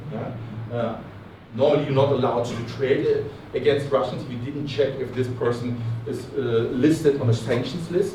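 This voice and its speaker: With audible room echo and noticeable background noise, a man talks at a moderate pace in a medium pitch, his intonation fairly even and his loudness swinging a lot. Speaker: crypto regulation adviser and conference speaker. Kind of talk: conference talk. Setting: stage with audience. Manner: halting, many fillers and repetitions.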